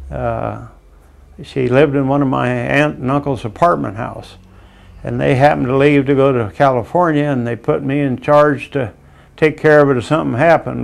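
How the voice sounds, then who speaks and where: A man speaks with a Midwestern US accent. His pace is moderate. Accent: US Midwest. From Iowa. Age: 80s+. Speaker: war veteran. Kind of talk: testimony. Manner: halting.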